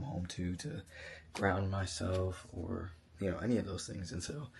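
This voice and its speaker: This man has a very deep, low pitch and a dark, mellow tone, somewhat breathy, talking at a moderate pace with ordinary pitch variation. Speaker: vlogger. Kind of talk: casual vlog monologue. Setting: vacation house at night. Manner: hesitant, many fillers.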